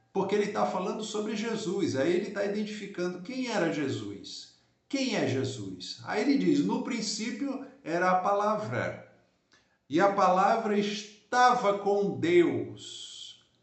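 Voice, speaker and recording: Speaking at a very slow pace, a man uses lively intonation in a high pitch. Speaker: pastor. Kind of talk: Bible teaching. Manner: slow, deliberate.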